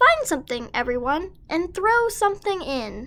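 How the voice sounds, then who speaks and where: This woman is doing a put-on character voice at an extremely high pitch. Her pitch swings very widely while she keeps a moderate pace. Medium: read story.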